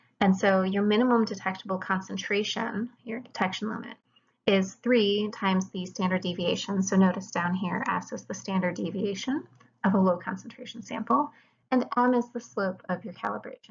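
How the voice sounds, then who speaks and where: A woman talks at a moderate pace, medium in pitch with ordinary pitch variation. Her voice is somewhat breathy and shows big swings in loudness. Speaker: chemistry lecturer. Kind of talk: lecture.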